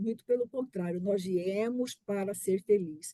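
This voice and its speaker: A woman with a normal speaking voice talks fairly slowly with ordinary pitch variation in a dry, close sound with no echo. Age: 60s. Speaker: family business founder, board member. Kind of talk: personal story in webinar.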